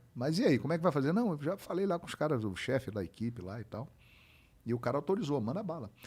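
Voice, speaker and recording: Racing at a very fast pace, a man with vocal fry and a dark, mellow tone makes big swings in loudness. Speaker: sports broadcaster (football commentator). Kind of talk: casual podcast interview answer, storytelling.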